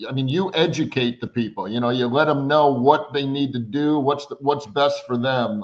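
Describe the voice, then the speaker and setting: A man with an American accent speaks at a moderate pace. His pitch is fairly high and varies an ordinary amount. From upstate New York (Syracuse). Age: 60s. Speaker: podcast host. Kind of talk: interview. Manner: halting, repeats words.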